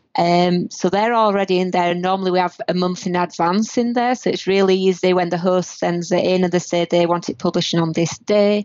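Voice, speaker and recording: With a northern British accent, a woman talks at a fairly quick pace with hardly any pauses, fairly even intonation and very even loudness. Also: medium pitch for a woman. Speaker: multimedia producer and editor. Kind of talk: casual interview. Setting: remote call from Canada.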